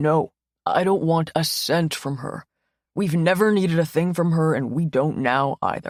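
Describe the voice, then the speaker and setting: In a put-on character voice, a man speaks with a high pitch. His pace is moderate and his intonation fairly even. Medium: read story. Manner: gentle, subdued.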